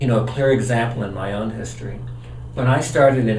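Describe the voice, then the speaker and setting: A man with an American accent talks at a fairly quick pace in a medium pitch, his intonation fairly even. Room echo is audible, along with noticeable background noise. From California, Los Angeles. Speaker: retired industrial designer and executive. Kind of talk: interview.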